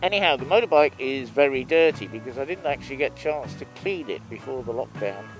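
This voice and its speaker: Over music in the background, a man talks very fast with hardly any pauses, a fairly high pitch, lively intonation and big swings in loudness. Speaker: motorcycle vlogger. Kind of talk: casual motovlog talk while riding. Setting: outdoors, helmet microphone on motorcycle.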